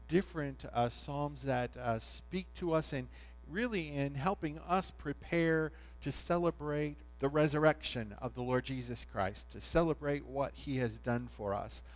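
A man talks at a fairly slow pace while music plays behind him. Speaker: pastor. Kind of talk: sermon. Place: church.

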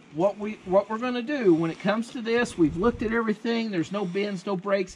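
Light background noise sits under a man's voice. He talks at a fairly quick pace with fairly even intonation. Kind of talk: instructional explanation. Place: street. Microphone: phone near.

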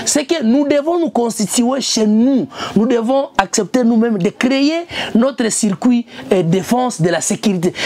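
The voice keeps a very even loudness at a fairly slow pace, with noticeable background noise behind it. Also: woman.

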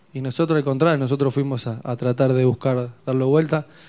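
A man speaks with a dark, mellow tone in monotone, flat intonation. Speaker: football player or coach giving post-match interview. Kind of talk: interview answer. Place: meeting room. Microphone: podium.

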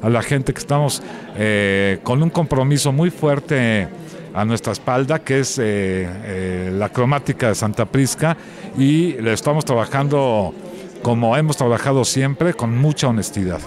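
Against noticeable background noise, a man talks at a fairly slow pace, his sound dry with no echo. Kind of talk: interview answer. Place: hall. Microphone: handheld.

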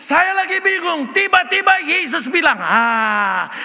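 Against a quiet background, a man uses a raised, projected voice with an animated tone, a fairly slow pace and ordinary pitch variation. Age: 70s. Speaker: retired pastor. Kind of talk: sermon. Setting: church. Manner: loud. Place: church. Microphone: podium.

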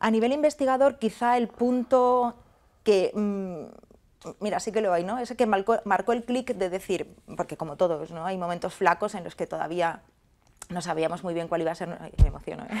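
The intonation is lively. The speaker keeps a moderate pace. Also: woman. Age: 50s. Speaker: food technology researcher and university lecturer. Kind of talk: interview. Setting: online interview. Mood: emotional moment. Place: studio. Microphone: lapel.

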